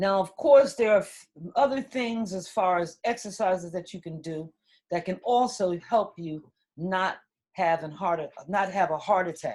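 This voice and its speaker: A woman's normal speaking voice at a medium pitch, moderate in pace, with ordinary pitch variation and big swings in loudness. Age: 60s. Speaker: wellness center owner. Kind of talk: casual talk at online conference.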